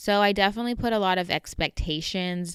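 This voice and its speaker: Speaking in a Southern Californian accent, a woman uses a bright, sharp tone and fairly even intonation. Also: very clean recording, silent background. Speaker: podcast host. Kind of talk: personal storytelling monologue. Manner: casual, conversational.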